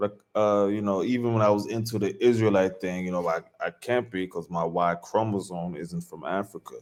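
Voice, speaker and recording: A man with an American accent speaks at a fairly slow pace in an unremarkable speaking voice. His pitch sits fairly low, with ordinary pitch variation. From US East Coast. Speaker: reaction commentator. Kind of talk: casual reaction commentary.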